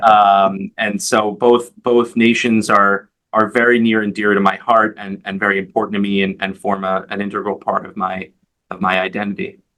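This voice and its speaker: Speaking with a New York accent, a man keeps a monotone, flat delivery at a moderate pace and a fairly low pitch. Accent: New York American English. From US Northeast, Long Island, New York. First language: Hebrew. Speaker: advocacy organization leader. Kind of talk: interview. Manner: halting, many fillers and repeated words.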